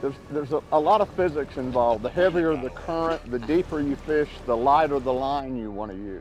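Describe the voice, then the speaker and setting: A man with a Southern US accent and a fairly high pitch, at a fairly quick pace with hardly any pauses and ordinary pitch variation. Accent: Southern US (Oklahoma). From Oklahoma, USA. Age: 70s. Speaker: lifelong fisherman. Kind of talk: on-boat fishing instruction. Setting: outdoors.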